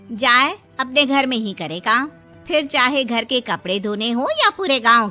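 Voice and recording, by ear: A woman's put-on character voice, fairly high-pitched with big pitch swings, bright and sharp in tone, fairly slow, with faint music in the background.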